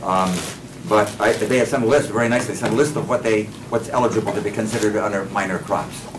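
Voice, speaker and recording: A man speaks very fast at a medium pitch, with ordinary pitch variation. Room echo is audible and background noise is noticeable. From Maine. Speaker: subsistence farmer and seed saver. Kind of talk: workshop lecture. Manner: casual, with frequent fillers and self-corrections.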